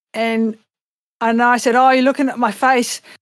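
A woman with an Australian accent, high pitch and a moderate pace. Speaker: singer and voice actress. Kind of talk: casual chat. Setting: video call. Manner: animated.

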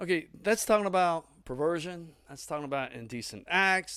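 A man with a Tennessee accent speaks at a moderate pace with ordinary pitch variation. The recording is very clean, with a silent background. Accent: Southern US (Tennessee). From US South, southeast Tennessee. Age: 40s. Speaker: pastor. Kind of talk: sermon. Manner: casual, conversational.

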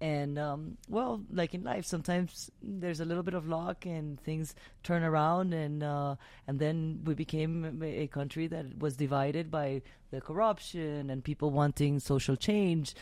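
The speaker has a Spanish accent and talks at a moderate pace with ordinary pitch variation. The recording is very clean, with a silent background. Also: woman, very deep, low pitch for a woman. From Venezuela. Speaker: podcast host. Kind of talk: casual interview chat. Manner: animated.

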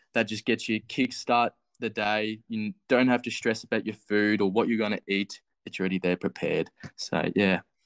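Fairly low-pitched male voice in an Australian accent, flat and monotone, dry and close with no echo, against a quiet background. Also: moderate pace. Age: 20s. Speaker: physiotherapy student, fitness challenge finalist. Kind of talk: casual interview.

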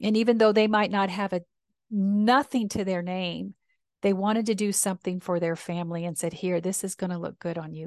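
In a normal speaking voice of medium pitch, a woman talks at a moderate pace, the sound dry and close with no echo against a quiet background. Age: 60s. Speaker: minister and podcast host. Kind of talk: reflective personal storytelling, spiritual talk. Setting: solo podcast recording. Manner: warm, reflective.

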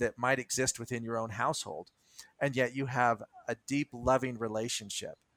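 A man talks at a moderate pace and medium pitch in a bright, sharp tone. The sound is dry and close, with no echo. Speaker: podcast co-host, hobby beekeeper. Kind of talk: casual chat.

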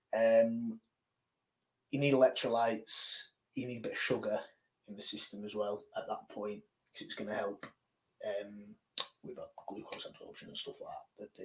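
A man with a British accent talks at a moderate pace, his loudness swinging widely and his speech broken by long, frequent pauses. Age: 30s. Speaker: strength athlete. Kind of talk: casual chat.

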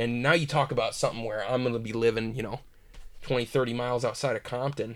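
This voice moves at a very fast pace. It carries an American accent. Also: man. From Michigan. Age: 20s. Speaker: aspiring filmmaker. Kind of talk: casual chat.

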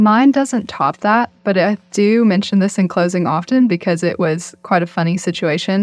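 A woman speaks in a plain, everyday voice at medium pitch and a moderate pace, with ordinary pitch variation, very even loudness, hardly any pauses and a quiet background. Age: 20s. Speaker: real estate closing agent. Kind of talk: casual interview. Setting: studio.

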